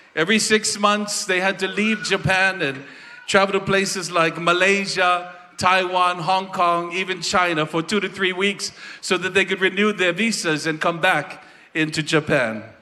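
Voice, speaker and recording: With noticeable background noise behind him, a man speaks in a high, raised and projected voice at a moderate pace. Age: 60s. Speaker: festival presenter giving a tribute. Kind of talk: stage tribute speech.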